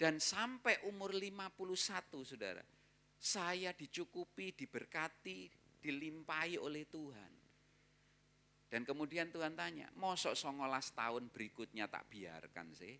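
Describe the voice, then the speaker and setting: Very wide pitch swings mark this bright, sharp-toned voice, which moves at a fairly slow pace. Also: man, fairly high pitch for a man. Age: 50s. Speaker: pastor. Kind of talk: sermon. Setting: church. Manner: conversational, addresses congregation directly.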